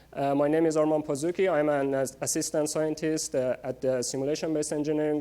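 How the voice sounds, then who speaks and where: A man's very fast, monotone delivery with a fairly high pitch, flat intonation and a Persian accent. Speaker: research scientist. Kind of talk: public lecture. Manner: many fillers, hesitant.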